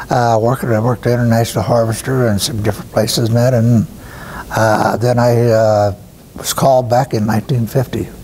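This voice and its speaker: In an American accent, a man with a medium pitch talks fairly quickly in a monotone, flat way over noticeable background noise. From Iowa, US Midwest. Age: 80s+. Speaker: war veteran. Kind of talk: interview testimony. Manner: halting, with many fillers.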